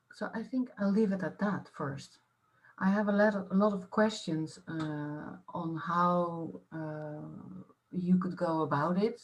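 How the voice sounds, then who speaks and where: A woman speaks very slowly in a somewhat breathy voice. Her pitch is fairly low, with ordinary variation. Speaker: artist-researcher. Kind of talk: panel discussion. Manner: halting, many fillers.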